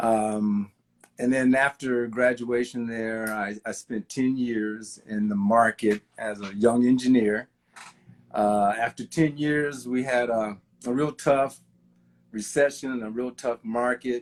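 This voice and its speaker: At a very slow pace, a man with an American accent speaks at medium pitch with fairly even intonation. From Kansas, US Midwest. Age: 60s. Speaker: civil engineer. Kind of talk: interview conversation.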